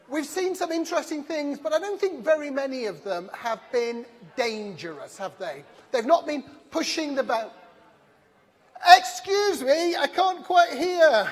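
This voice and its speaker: Over noticeable background noise, a woman with a high voice speaks fairly slowly, with very wide pitch swings and big swings in loudness. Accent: English. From England. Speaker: conference session chair. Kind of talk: speaker introduction.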